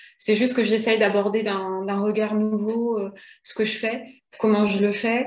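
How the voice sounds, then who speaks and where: Audible room echo surrounds a woman's voice as she talks. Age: 40s. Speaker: videographer and entrepreneur. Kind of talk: interview. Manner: hesitant, many fillers.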